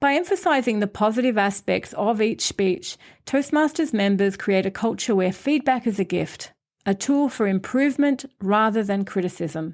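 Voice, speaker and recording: On a very clean recording with a silent background, a woman with a plain, everyday voice speaks at a moderate pace with fairly high pitch and lively intonation. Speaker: podcast host. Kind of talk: scripted podcast monologue.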